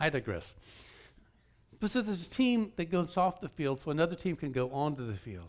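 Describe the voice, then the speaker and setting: With an American accent, the speaker moves at a fairly quick pace through very wide pitch swings and long, frequent pauses in a very clean recording with a silent background. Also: man, fairly high pitch for a man. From US South (Georgia). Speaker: guest preacher. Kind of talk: sermon.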